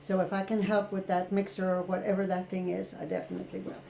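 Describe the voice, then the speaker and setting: The speaker talks at a fairly quick pace with an Irish accent. The tone is dark and mellow. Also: woman. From rural Ireland. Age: 60s. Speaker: retired therapist. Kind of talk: interview.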